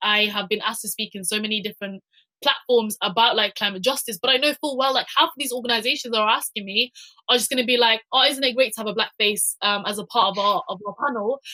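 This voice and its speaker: In a British accent, a woman talks at a very fast pace with a fairly high pitch, ordinary pitch variation and a bright, sharp tone, the sound dry and close with no echo. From UK, Somali heritage. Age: young. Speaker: climate activist. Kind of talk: panel discussion. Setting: webinar video call. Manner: halting, many fillers and repetitions.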